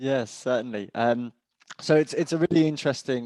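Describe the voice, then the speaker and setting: With a British accent, a man talks at a moderate pace with fairly even intonation, heard dry and close with no echo. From England. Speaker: cyber insurance expert. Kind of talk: webinar panel discussion.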